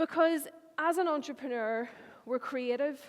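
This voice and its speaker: A woman with a Northern Irish accent, moderate pace and ordinary pitch variation. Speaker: marketing agency owner. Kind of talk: conference talk.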